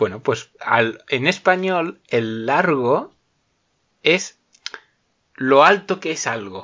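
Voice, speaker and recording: A fairly high-pitched man speaking at a very slow pace, with very wide pitch swings and long, frequent pauses. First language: Spanish (speaking Italian). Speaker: language teacher. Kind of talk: casual chat.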